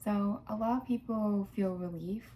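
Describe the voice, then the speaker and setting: A woman speaks quietly in a somewhat breathy voice with a dark, mellow tone. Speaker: video blogger with DID. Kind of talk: personal vlog monologue. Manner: hesitant, many fillers.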